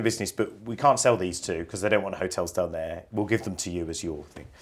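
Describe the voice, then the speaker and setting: Lively intonation runs through this man's speech in a West Midlands accent. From West Midlands, England. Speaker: care company chief executive. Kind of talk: interview. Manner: halting, many fillers.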